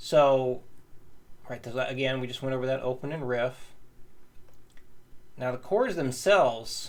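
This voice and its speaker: With noticeable background noise, a man talks at a moderate pace and medium pitch, showing ordinary pitch variation and long, frequent pauses. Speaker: guitar teacher. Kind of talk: tutorial.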